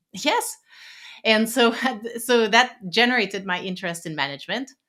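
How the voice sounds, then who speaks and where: Lively intonation from a woman with a Quebec accent, fairly high pitch, a bright, sharp tone, big swings in loudness and a moderate pace. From Quebec City, Canada. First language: French. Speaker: psychologist and executive coach. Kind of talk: podcast interview.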